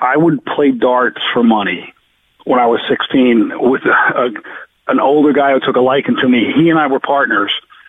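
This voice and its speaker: The speaker is a man with a fairly high pitch. He goes at a fairly slow pace with ordinary pitch variation. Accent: New Jersey. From New Jersey, Jersey Shore. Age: 60s. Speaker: sports bettor, podcast co-host. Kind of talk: casual chat. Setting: in a car.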